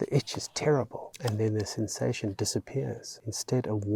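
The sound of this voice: The clip features an unforced reading voice.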